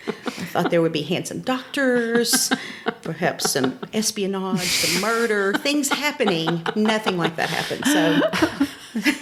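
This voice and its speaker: A woman with an Appalachian accent speaks at a fairly slow pace in a fairly high pitch. Her pitch swings very widely while her loudness stays very even, over noticeable background noise. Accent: Appalachian Southern US. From Upper East Tennessee, Appalachian Mountains. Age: 50s. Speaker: elementary school principal. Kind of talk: casual chat.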